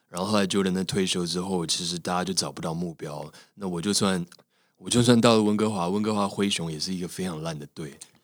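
Very deep and low in pitch, a man talks at a fairly quick pace with fairly even intonation in a very clean recording with a silent background. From Taiwan. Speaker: actor and radio host. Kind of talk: interview conversation.

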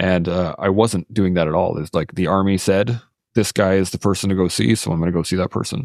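A man with a Western Canadian accent talks at a fairly quick pace. His very deep, low pitch comes through dry and close with no echo. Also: ordinary pitch variation. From southern Alberta, Canada. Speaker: military veteran and podcaster. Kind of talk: interview conversation.

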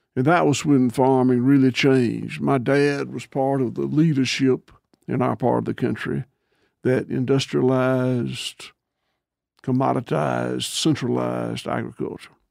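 At a moderate pace, a man speaks with a Southern US accent. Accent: Southern US (Georgia). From US South, Georgia. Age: 60s. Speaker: farmer. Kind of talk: interview.

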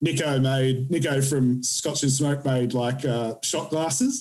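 Slow and fairly even in intonation, the slightly mellow voice carries audible room echo. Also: man, medium pitch for a man.

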